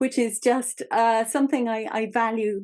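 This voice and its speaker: A woman speaks with an English accent. The background is quiet. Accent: English accent, called funny. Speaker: podcast host. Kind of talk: interview conversation.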